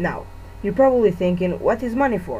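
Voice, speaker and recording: A woman is speaking. She has a Portuguese accent. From Portugal. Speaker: gamer. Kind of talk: game review voice-over.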